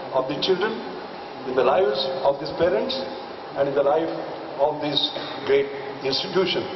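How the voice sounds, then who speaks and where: There is noticeable background noise. A man speaks over it at a fairly quick pace. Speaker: guest. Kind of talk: ceremonial speech. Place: stage. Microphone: podium.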